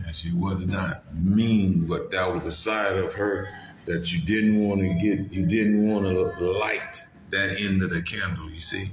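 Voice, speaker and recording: With music in the background and audible room echo, a man speaks at a fairly low pitch in a monotone, flat intonation at a fairly slow pace. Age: 50s. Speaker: truck driver and vlogger. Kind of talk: casual monologue.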